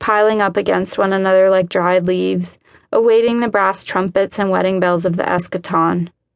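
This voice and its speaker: Against a quiet background, a woman uses a plain, everyday voice at a medium pitch and moderate pace, with ordinary pitch variation. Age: 30s. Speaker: author narrating her own book. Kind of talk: literary nonfiction audiobook narration, first-person memoir read aloud.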